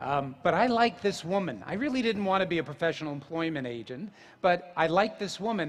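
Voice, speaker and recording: A man speaks in a New Jersey accent at a very fast pace. His intonation is lively. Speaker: yoga teacher. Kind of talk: public talk.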